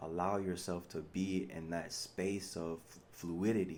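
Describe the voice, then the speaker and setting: This man has a very deep, low voice with a dark, mellow tone and monotone, flat intonation. Audible room echo surrounds his speech. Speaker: spiritual vlogger. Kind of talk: monologue. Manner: mumbles and slurs when relaxed, mixes slang with proper English.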